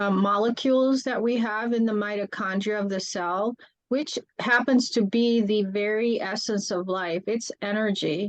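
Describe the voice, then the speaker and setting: A woman in a plain, everyday voice speaks at a moderate pace with fairly high pitch and fairly even intonation. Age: 60s. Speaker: cellular health coach. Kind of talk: casual chat.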